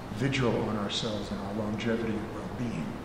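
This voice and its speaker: Moderate speed from a man, with audible room echo and noticeable noise behind him. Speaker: event host. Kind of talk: event introduction and closing remarks. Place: hall.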